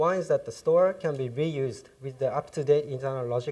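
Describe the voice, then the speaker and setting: A somewhat breathy voice with a dark, mellow tone and a Japanese accent talks at a moderate pace with fairly even intonation. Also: man. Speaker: software developer, conference speaker. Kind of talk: technical conference talk. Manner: hesitant, many fillers.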